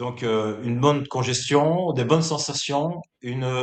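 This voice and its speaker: Fairly even in intonation, a man talks at a fairly slow pace. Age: 60s. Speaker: bodybuilder. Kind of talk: interview. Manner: hesitant, many filler words.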